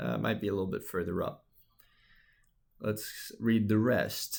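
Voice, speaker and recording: A man at a moderate pace and fairly low pitch, with a plain, everyday voice, in a very clean recording with a silent background. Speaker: instructor. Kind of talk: tutorial.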